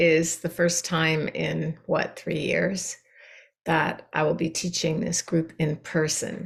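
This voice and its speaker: Vocal fry runs through a woman's speech, delivered at a very slow pace. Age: 70s. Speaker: meditation teacher. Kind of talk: dharma talk to meditation group. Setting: video call. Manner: conversational, with many fillers.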